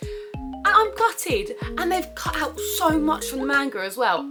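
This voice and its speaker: A woman talks with a British accent while music plays in the background. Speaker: anime figure collector and cosplayer. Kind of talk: casual unboxing review to camera.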